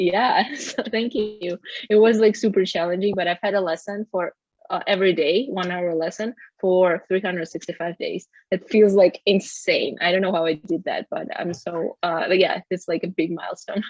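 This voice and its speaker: At a moderate pace, a woman with a Russian accent speaks at medium pitch with ordinary pitch variation. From Russia, Moscow. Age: 20s. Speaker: podcast co-host. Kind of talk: casual chat. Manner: hesitant, many fillers.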